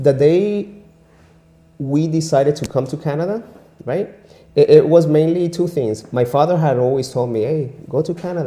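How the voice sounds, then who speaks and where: This man's voice sits fairly high in pitch, with a dark, mellow tone and a somewhat breathy quality. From Venezuela. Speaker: immigrant and English teacher. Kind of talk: interview. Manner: animated; repetitive stammering.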